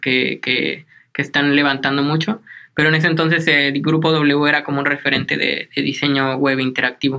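A man's fairly high voice at a moderate pace, monotone with flat intonation. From Mexico, Hidalgo. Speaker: graphic designer and illustrator. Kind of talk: casual interview.

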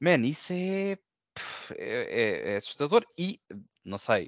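In a normal speaking voice, a man talks at a fairly slow pace with lively intonation. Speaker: podcast host. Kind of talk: casual chat.

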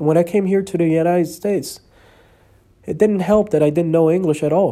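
A man speaks at a fairly quick pace with a slight Spanish accent, pitched high for a man with ordinary pitch variation. His tone is dark and mellow. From El Salvador. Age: 20s. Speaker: podcast host. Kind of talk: personal testimony.

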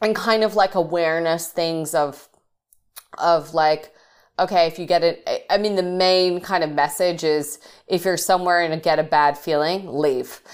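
A woman speaks with an Australian accent at a moderate pace. Her pitch is fairly low and her intonation fairly even. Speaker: film director. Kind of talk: interview.

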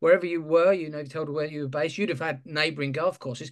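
A man is speaking here. He has a British accent. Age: 40s. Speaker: podcast host. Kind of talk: casual interview. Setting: remote call.

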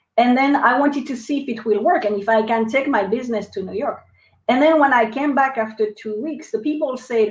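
With a French accent, a woman talks at a fairly quick pace. Her voice is high, with ordinary pitch variation. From France. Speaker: business coach and marketing expert. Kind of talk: interview. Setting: live online video broadcast.

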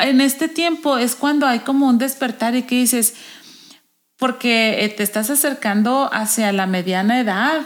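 A woman speaks at a high pitch and a fairly slow pace. Her loudness stays very even, and her pitch varies in an ordinary way. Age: 40s. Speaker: podcast host. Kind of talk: casual chat about a self-help book.

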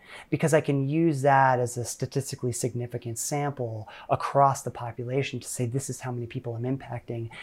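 A man's somewhat breathy, medium-pitched voice in a monotone, flat intonation, very fast with hardly any pauses and big swings in loudness. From Ohio, US. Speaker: tech professional and career influencer. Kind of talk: podcast interview. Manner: casual.

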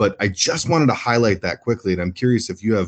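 The speaker has an Upper Midwest accent and ordinary pitch variation. The background is quiet. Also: man. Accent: Upper Midwest American. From Minnesota, Minneapolis. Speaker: person in long-term recovery, nonprofit executive. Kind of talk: interview.

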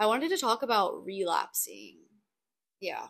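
A woman's raspy voice with vocal fry, a fairly bright tone and big pitch swings

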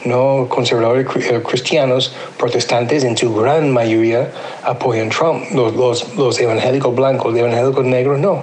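A man's medium-pitched voice at a fairly slow pace, with fairly even intonation and very even loudness, plus audible room echo and noticeable background noise. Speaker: sociology professor. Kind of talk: interview. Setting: remote, recorded voice notes. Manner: hesitant, many fillers.

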